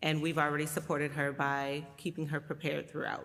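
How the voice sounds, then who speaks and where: A loud woman's voice with a bright, sharp tone at a fairly quick pace. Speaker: executive director of a doula and postpartum support nonprofit. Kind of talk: appeal for a charity.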